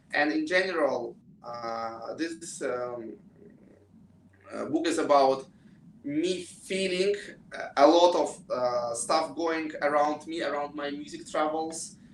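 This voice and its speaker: A man with a Russian accent, fairly high in pitch, very slow with long, frequent pauses and ordinary pitch variation. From Russia, Moscow. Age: 20s. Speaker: pianist and student. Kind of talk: interview. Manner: halting.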